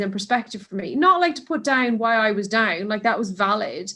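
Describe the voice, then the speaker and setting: A woman speaks at a fairly quick pace. Her voice is fairly high, with a bright, sharp tone. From Ireland. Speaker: mountain and cave rescue volunteer, runner. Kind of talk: casual interview chat.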